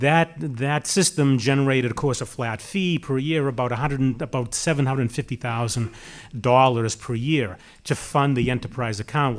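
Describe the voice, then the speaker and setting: A man speaks at a moderate pace with a Boston accent. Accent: Watertown (Boston-area). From Massachusetts, Watertown. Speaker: municipal public works official, panelist. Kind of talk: panel discussion. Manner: halting, many fillers and restarts.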